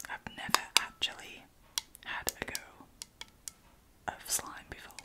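The woman is whispering. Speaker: ASMR creator. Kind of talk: ASMR slime play. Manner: whispered. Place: home room.

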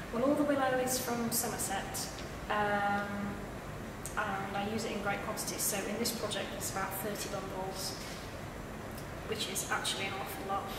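Amid loud background noise and audible room echo, a woman speaks at a moderate pace with long, frequent pauses. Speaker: artist. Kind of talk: interview answer. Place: hall.

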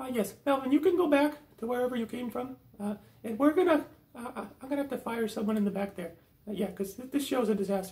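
Very fast and fairly high-pitched, the speaker uses a cartoonish character voice. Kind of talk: comedy puppet sketch. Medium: puppet.

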